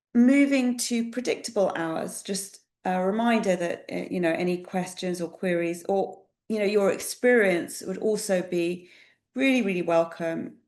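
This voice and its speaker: A woman with a British accent speaks at a moderate pace in a fairly low voice, with ordinary pitch variation, against a quiet background. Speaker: employment relations specialist presenting a webinar. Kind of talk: webinar presentation. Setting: online webinar.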